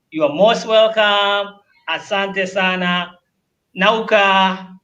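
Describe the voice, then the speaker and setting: A man talks very slowly with a high pitch. His intonation stays fairly even. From Tanzania. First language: Luguru and Swahili. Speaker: language teacher. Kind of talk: short language lesson.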